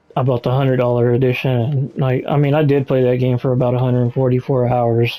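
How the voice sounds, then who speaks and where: A man's medium-pitched voice, very fast and flat in a monotone, very even in loudness, with hardly any pauses and noticeable background noise. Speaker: gamer vlogger. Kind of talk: casual monologue while gaming. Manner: halting, distracted.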